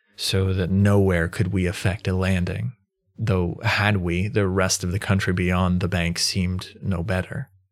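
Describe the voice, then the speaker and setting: A man talks at a fairly slow pace in a very deep, low pitch, with very even loudness and fairly even intonation. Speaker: audiobook narrator. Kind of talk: literary audiobook reading, archaic first-person sea narrative. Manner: measured, formal, storytelling pace with hushed suspense; intro is casual and friendly.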